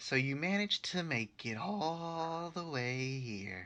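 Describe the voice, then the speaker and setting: Cackling in a put-on character voice, a man speaks at a fairly high pitch. He moves at a fairly slow pace with lively intonation. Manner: wicked, cackling.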